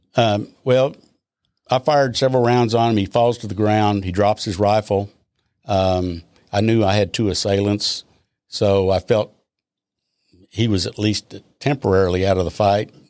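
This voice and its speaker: A man with a Texan accent speaks at a moderate pace in a fairly low voice, leaving long, frequent pauses. The recording is very clean, with a silent background. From Texas, Austin. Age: 70s. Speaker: retired police officer. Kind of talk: interview.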